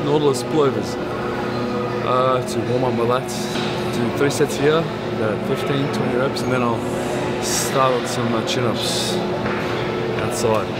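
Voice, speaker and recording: A man at a fairly slow pace, with long, frequent pauses and clear music in the background. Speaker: bodybuilder vlogger. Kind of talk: casual vlog chat. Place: gym.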